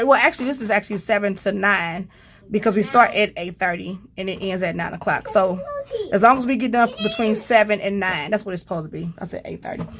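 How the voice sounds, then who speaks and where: Music plays in the background as a woman speaks at a fairly quick pace with a fairly high pitch. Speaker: homeschooling mom and vlogger. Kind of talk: casual tutorial vlog.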